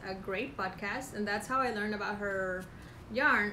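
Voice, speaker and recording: Speaking with a Spanish accent and a fairly high pitch, a woman is heard over noticeable background noise with audible room echo. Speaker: knitting podcast co-host, yarn dyer. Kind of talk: casual chat.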